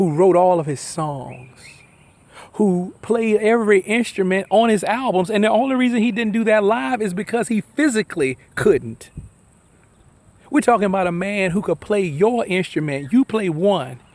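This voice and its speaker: A man's high-pitched voice with lively intonation. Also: moderate pace. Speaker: vlogger and performer. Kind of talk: personal video tribute. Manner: emotional, emphatic.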